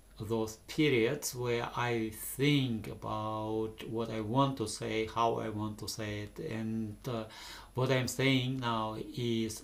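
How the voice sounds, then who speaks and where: With a non-native accent, a man speaks in fairly even intonation. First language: not English. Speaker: vlogger. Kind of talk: unscripted monologue. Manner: halting, many pauses. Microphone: camera's built-in microphones.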